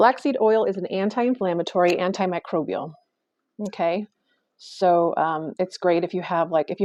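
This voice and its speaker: A woman talks at a moderate pace with a fairly low pitch and ordinary pitch variation. Her tone is dark and mellow, and the sound is dry and close with no echo. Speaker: health vlogger. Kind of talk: casual informational vlog. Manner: hesitant, many fillers.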